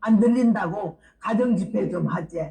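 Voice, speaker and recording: Noticeable background noise surrounds a woman speaking at a fairly slow pace. Her pitch is fairly high and her intonation lively. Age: 80s+. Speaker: missionary preacher. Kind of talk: sermon. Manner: lively storytelling.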